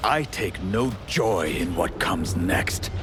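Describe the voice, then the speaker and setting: A cartoonish character voice moves at a fairly slow pace over loud background noise. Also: man, very deep, low pitch for a man. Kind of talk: formal regal speech.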